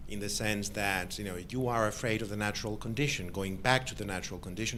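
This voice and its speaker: Very fast speech from a man with a fairly low pitch and a bright, sharp tone, hardly any pauses, in audible room echo. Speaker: academic commentator. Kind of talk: academic Q&A discussion. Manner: loud; halting.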